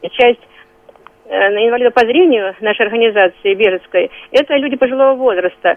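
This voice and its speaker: Noticeable background noise sits behind a woman with a high pitch and ordinary pitch variation, who leaves long, frequent pauses. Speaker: head of veterans council. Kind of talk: radio interview.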